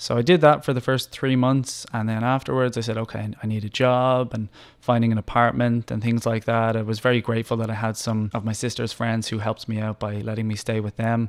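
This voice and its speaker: A man's medium-pitched voice with a slight Irish accent, monotone and flat, at a fairly quick pace with hardly any pauses. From Ireland, Dublin. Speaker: English teacher and nonprofit founder. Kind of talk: interview. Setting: studio.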